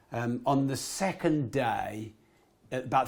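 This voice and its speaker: An animated man talks with ordinary pitch variation on a very clean recording with a silent background. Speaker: entrepreneur and author. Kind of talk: podcast interview.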